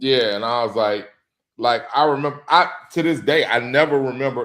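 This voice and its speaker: A man with a Louisiana accent talks at a moderate pace with lively intonation. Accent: Louisiana Southern US. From Louisiana, US South. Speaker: sports podcast co-host. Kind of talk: casual chat. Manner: halting.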